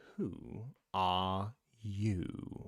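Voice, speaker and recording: Putting on a character voice, a man speaks at a fairly low pitch with ordinary pitch variation. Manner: drowsy, unhurried.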